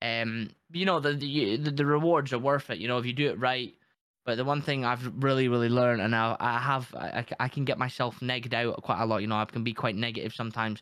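A man at medium pitch speaks at a very fast pace. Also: fairly even intonation. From Newfoundland, Canada. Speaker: gaming streamer. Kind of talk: casual chat.

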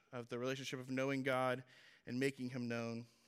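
Very clean recording with a silent background, a man at medium pitch. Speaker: young preacher at a men's ministry series. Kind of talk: sermon. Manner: casual and halting, many fillers.

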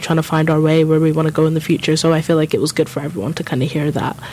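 Talking at a very fast pace in a London accent, a woman is heard over noticeable background noise. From North London, England. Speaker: student guest. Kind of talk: casual chat. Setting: studio.

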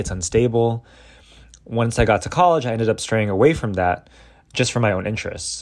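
On a very clean recording with a silent background, a man speaks with an American accent. His medium pitch shows ordinary variation at a fairly quick pace. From Southern California suburbs. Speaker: high school math teacher. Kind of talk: interview storytelling.

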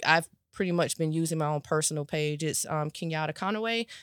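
A woman with an American accent and an ordinary speaking voice, fairly low in pitch and fairly even in intonation, in a very clean recording with a silent background and a dry, close sound with no echo. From Florida, Riviera Beach. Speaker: mental health professional and coach. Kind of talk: casual interview.

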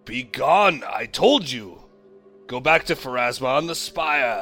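Over faint music in the background, a man does a put-on character voice at a fairly high pitch and a fairly slow pace. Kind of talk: formal, slightly archaic speech. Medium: actual play. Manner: fervent, commanding when praying.

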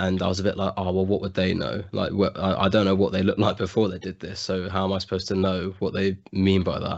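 In an English accent, a man with a very deep, low pitch speaks at a very fast pace in a monotone, flat intonation with hardly any pauses. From England. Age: young. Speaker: college student. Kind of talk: interview.

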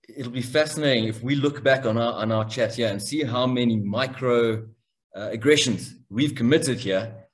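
Moderate pace from a man at a medium pitch, with fairly even intonation and audible room echo. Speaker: podcast host. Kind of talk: interview. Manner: halting, many repetitions.

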